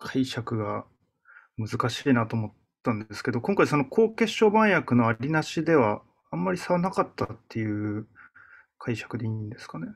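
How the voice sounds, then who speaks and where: The loudness swings widely and the pitch ranges very far up and down. The pace is moderate, with a quiet background. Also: man, medium pitch for a man. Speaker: channel host and physician. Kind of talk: casual academic discussion. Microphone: video call.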